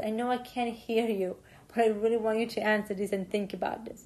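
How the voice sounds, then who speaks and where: Against a quiet background, a woman speaks at a moderate pace with a fairly high pitch and monotone, flat intonation. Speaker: chemistry lecturer. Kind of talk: lecture.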